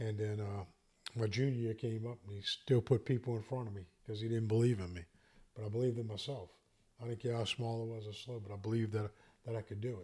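Speaking at a very fast pace, a man with an American accent uses a monotone, flat intonation. His medium-pitched voice has a dark, mellow tone and is somewhat breathy. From US South, St. Bernard Parish, Louisiana. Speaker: entrepreneur, commercial real estate salesman. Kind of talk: casual podcast conversation.

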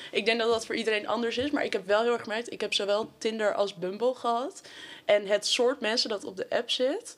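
A woman with an ordinary speaking voice, fairly high pitch, ordinary pitch variation and a fairly quick pace. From Amsterdam, Netherlands. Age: 19. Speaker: sociology student. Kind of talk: casual chat.

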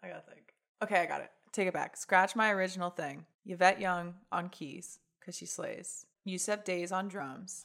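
On a very clean recording with a silent background, the speaker moves at a moderate pace with fairly even intonation and big swings in loudness. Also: woman. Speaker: singer and guitarist in a rock band. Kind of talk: casual interview chat.

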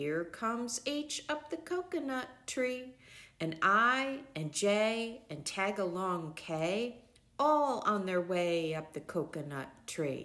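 A woman's fairly high, playful voice with very wide pitch swings. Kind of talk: bedtime story reading aloud. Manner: sing-song rhythmic, playful; animated, expressive with sound effects.

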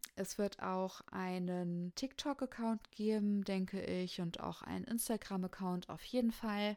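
The voice is dark and mellow in tone, moving at a fairly slow pace with ordinary pitch variation. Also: woman, medium pitch for a woman, hardly any pauses. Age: 30s. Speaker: podcast host. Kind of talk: casual monologue. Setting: home studio.

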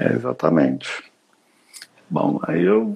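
This is a man talking. He goes at a very slow pace. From Brazil, Brasília with youth in Belo Horizonte. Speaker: architect. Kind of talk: interview in a livestream. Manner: halting.

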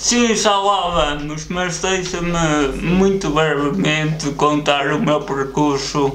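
A fairly high-pitched man at a very slow pace, very even in loudness, with ordinary pitch variation, audible room echo and noticeable background noise. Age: 20s. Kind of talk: casual chat.

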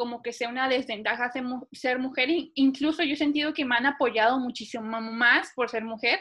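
Against a quiet background, a woman talks at a high pitch with a bright, sharp tone and fairly even intonation. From Mexico (Cancún, Monterrey) and Panama. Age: 20s. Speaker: airline pilot. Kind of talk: interview.

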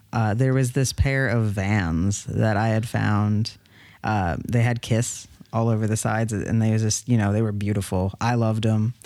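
In an American accent, a man with a normal speaking voice and fairly low pitch talks at a moderate pace, with fairly even intonation and very even loudness. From New York City. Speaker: podcast co-host, reseller. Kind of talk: casual chat.

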